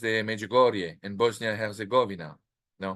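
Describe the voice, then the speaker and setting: Speaking at a fairly slow pace with a French accent, a man uses ordinary pitch variation and a bright, sharp tone. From France, Normandy. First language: French (speaking Spanish). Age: 50s. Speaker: author. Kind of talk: interview. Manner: halting, many fillers and restarts.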